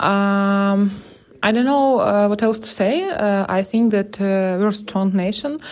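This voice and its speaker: Very slow in pace, a woman speaks at medium pitch. Her intonation is fairly even. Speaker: civilian in a war zone. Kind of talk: personal audio diary. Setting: basement shelter. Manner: halting.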